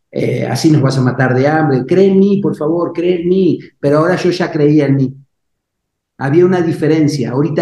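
A man's fairly high-pitched voice in a dark, mellow tone at very even loudness. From Argentina. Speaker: life coach and speaker. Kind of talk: interview testimony. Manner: animated.

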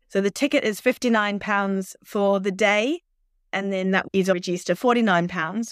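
With an Australian accent and ordinary pitch variation, a woman is heard in a dry, close, very clean recording with no echo and a silent background. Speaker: occupational therapist and mission worker. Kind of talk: casual interview promoting an event.

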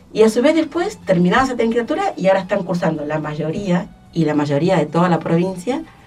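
Over music in the background, a woman with a fairly low pitch talks at a fairly quick pace with lively intonation. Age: 60s. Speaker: arts education director. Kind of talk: radio interview.

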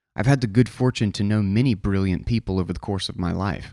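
This man has a normal speaking voice at a fairly low pitch with ordinary pitch variation. The recording is very clean, with a silent background. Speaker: podcast host reading articles aloud. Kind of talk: reading aloud a written post.

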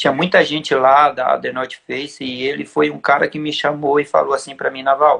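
Here a man is speaking. His pace is moderate. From Brazil, São Paulo. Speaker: trail runner, former champion. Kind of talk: casual chat. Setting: live stream.

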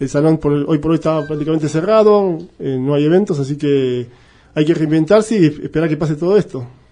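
A man with a dark, mellow tone and a fairly high pitch speaks at a fairly quick pace with ordinary pitch variation. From Argentina. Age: 50s. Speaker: cyclist and event venue owner. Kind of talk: interview.

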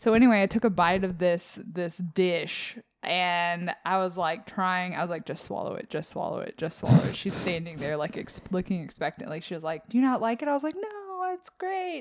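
At a moderate pace with hardly any pauses, a woman of medium pitch speaks in an unremarkable speaking voice with lively intonation, on a very clean recording with a silent background. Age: 30s. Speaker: book podcast co-host. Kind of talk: casual chat.

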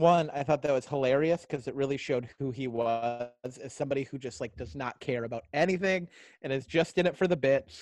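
At a fairly quick pace, a man talks in a plain, everyday voice, fairly high in pitch with ordinary pitch variation. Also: quiet background. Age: 30s. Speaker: podcast co-host and stand-up comedian. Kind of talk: casual chat.

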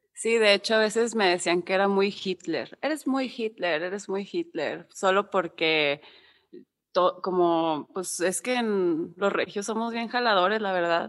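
A woman with a normal speaking voice talks at a fairly slow pace and medium pitch with ordinary pitch variation, on a very clean recording with a silent background. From Monterrey, northern Mexico. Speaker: music manager and booker. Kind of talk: casual interview chat.

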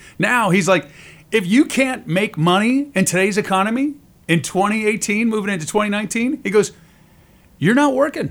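Here a man talks at a moderate pace with a high pitch and lively intonation, his tone upbeat and animated. The recording is very clean with a silent background. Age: 50s. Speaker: author and radio voice actor. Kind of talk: casual interview chat. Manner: upbeat, animated, joking.

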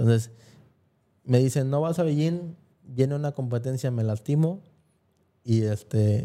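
Using a dark, mellow tone, a man speaks at a fairly slow pace with long, frequent pauses. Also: medium pitch for a man, ordinary pitch variation. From Mexico, Guerrero (Acapulco). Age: 30s. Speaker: former track athlete. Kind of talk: casual chat. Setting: studio.

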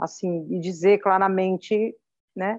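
The speech comes very slowly with fairly even intonation, and the sound is dry and close with no echo over a quiet background. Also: woman. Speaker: pastor and mother. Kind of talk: interview testimony.

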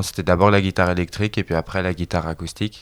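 Very deep and low, a man's voice moves at a fairly quick pace with fairly even intonation. The recording is very clean, its background silent. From France, Bordeaux. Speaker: singer-songwriter. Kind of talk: casual interview. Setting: friends' home. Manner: halting, many repetitions.

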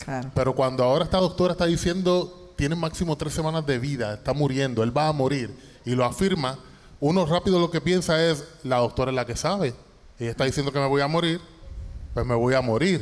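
An ordinary speaking voice from a man, fairly high-pitched, fairly quick, with ordinary pitch variation. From Puerto Rico, Toa Baja. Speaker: singer and cancer survivor. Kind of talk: testimony. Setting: church stage with audience.

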